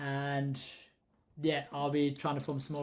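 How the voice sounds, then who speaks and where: A man with a South African accent at a moderate pace. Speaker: holiday rental host and vlogger. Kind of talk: tutorial. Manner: casual, with many fillers.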